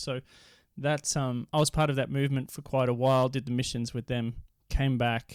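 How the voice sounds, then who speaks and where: With an Australian accent, a man talks at a fairly quick pace, his medium pitch held in fairly even intonation. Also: very clean recording, silent background. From Australia, Victoria and Queensland. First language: Dutch. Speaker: poet and inner healer. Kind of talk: podcast interview.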